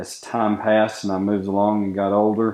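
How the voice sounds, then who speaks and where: A man speaks with an Appalachian accent. His pitch is fairly low. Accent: Appalachian Southern US. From US South, western North Carolina (Boone). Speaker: knife maker. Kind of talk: interview. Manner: halting, frequent fillers.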